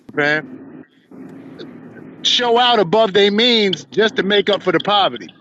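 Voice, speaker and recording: A man with a high-pitched voice speaks in a raised, projected voice at fairly slow speed, holding very even loudness with ordinary pitch variation and long, frequent pauses over noticeable background noise. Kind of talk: heated debate.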